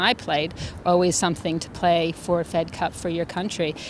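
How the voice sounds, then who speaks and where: Noticeable background noise sits behind the voice. A woman speaks at a medium pitch. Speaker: tennis coach. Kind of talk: interview.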